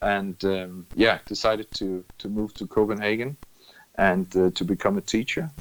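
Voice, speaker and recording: A man with a Danish accent, fairly low in pitch, fairly slow and with fairly even intonation. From Denmark, Funen (Middelfart). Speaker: running club manager, former teacher. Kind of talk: casual interview. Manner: halting, repeats words.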